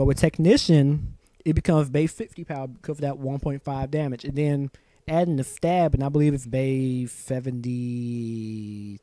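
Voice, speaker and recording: Speaking at a moderate pace, a man uses a fairly high pitch with ordinary pitch variation and a dark, mellow tone. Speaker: Pokemon draft league player and YouTuber. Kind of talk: casual solo commentary. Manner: frequent ums and hesitations.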